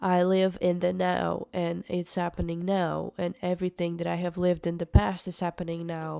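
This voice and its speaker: A woman speaks at a medium pitch with a non-native accent. Her tone is dark and mellow. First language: not English. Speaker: musician vlogger. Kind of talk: casual monologue vlog. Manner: halting, with many fillers.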